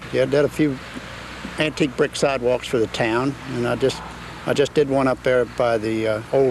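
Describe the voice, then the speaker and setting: Noticeable background noise runs under the recording. A man talks at medium pitch and a moderate pace. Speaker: town resident, bricklayer. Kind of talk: documentary interview.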